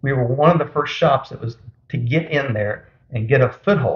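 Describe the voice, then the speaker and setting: A man talks at a fairly quick pace in a somewhat breathy voice. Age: 60s. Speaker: small business owner. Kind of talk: interview.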